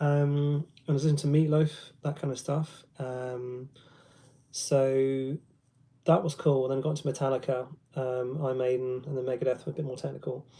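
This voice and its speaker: With a London accent, a man speaks at a moderate pace and medium pitch, his dark, mellow tone held in a monotone, flat intonation and broken by long, frequent pauses. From London, England. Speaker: guitarist and guitar teacher. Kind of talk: casual livestream chat with guitar demos. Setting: live stream. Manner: hesitant, many ums.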